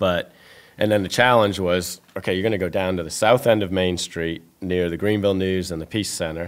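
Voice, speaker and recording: A man speaks with a very deep, low pitch. His pace is fairly quick and his intonation fairly even. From New England. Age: 50s. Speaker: restaurateur. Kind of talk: interview.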